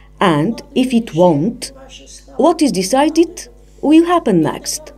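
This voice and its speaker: With noticeable background noise behind her, a woman speaks very slowly in a high pitch that swings very widely. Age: 90s. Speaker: patient. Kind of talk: testimony.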